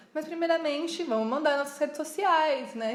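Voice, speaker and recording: A woman with a São Paulo interior accent speaks with lively intonation. Background noise is noticeable. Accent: caipira accent from interior São Paulo. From interior of São Paulo state, Piracicaba. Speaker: podcast co-host, craft business. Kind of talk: casual chat.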